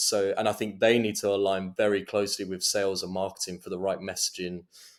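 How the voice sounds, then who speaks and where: A man with a slight Essex accent, fairly low pitch and fairly quick pace. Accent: slight London Essex twang. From London/Essex border, England. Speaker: go-to-market director at AI startup. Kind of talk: casual interview chat.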